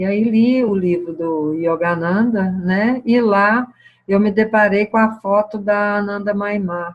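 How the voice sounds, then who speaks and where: A woman talks very slowly, her intonation staying fairly even. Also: medium pitch for a woman. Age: 60s. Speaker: spiritual teacher. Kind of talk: satsang talk answering questions. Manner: hesitant, many fillers.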